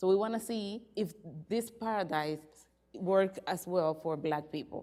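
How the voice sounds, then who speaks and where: A woman's dark, mellow voice at medium pitch, in a Spanish accent, at a fairly slow pace. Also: ordinary pitch variation. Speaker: academic researcher. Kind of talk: conference presentation. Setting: conference with audience. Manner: reading from paper.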